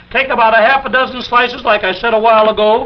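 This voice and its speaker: A man's high-pitched, upbeat and enthusiastic voice at a very fast pace, with noticeable background noise. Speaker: kitchen gadget demonstrator. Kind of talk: 1950s television infomercial product demonstration. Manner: upbeat, salesman-like, enthusiastic.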